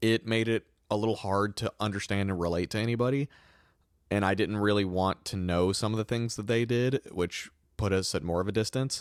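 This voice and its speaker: A man with a northern US accent speaks at a fairly quick pace and fairly low pitch, with fairly even intonation. The very clean recording has a silent background and a dry, close sound with no echo. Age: 20s. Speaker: podcast host. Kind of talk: testimony.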